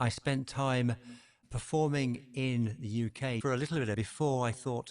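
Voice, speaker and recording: Speaking with a British accent, a man has a medium pitch. His pace is moderate and his pitch varies in an ordinary way. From southern England. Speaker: wellness podcaster, former musician. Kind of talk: interview conversation.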